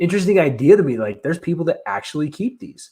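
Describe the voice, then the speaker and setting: A man talking at a very fast pace. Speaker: aquarium fish keeper and channel owner. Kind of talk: live Q&A stream. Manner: casual, hesitant with fillers.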